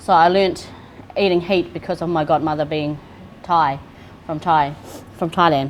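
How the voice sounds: A woman speaks in a low pitch. Her intonation stays fairly even. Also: moderate pace.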